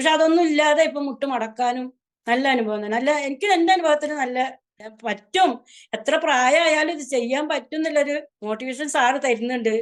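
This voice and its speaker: Her voice is high for a woman. The woman's pitch varies in an ordinary way. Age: 50s. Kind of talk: interview answer. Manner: casual, conversational.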